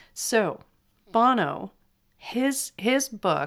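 A woman speaks with a Californian accent. The recording is very clean with a silent background. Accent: flat Californian. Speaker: podcast host. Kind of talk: casual monologue, book recommendations.

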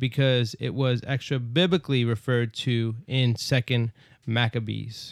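With an American accent, a man talks at a medium pitch in a plain, everyday voice. His intonation is fairly even. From New York, Brooklyn. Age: 30s. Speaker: bible study podcast host. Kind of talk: casual bible study discussion.

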